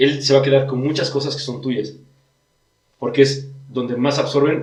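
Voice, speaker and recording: Audible room echo surrounds a man talking at a fairly quick pace in a fairly high pitch. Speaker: podcast host explaining disorders. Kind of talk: casual chat.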